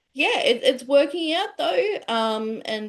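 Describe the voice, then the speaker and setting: A woman with an Australian accent speaks at a fairly slow pace, her pitch swinging very widely. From Tasmania, Australia. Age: 30s. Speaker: business professional. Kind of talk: casual chat.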